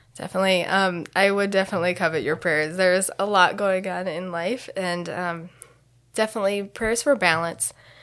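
With a Midwestern American accent, a woman speaks at a medium pitch with fairly even intonation in a very clean recording with a silent background. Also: moderate pace. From US Midwest (Delaware, Ohio). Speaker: missionary. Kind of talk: interview.

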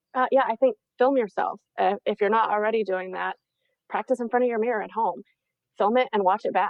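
Fairly quick and fairly even in intonation, a woman's voice sits fairly high in pitch. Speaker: registered dietitian and media coach. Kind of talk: interview. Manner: fast.

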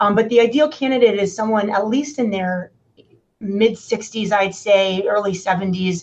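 A woman speaks with a somewhat breathy voice. Her intonation stays fairly even. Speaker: orthopedic surgeon. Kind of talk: interview answering clinical questions.

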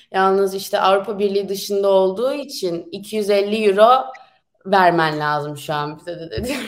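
Set against audible room echo, a woman speaks at a medium pitch with ordinary pitch variation. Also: moderate pace, big swings in loudness. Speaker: university student. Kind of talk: casual interview. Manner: animated.

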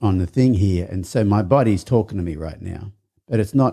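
In an Australian accent, a man talks at a moderate pace. His voice is fairly low, with a dark, mellow tone. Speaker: podcast host.

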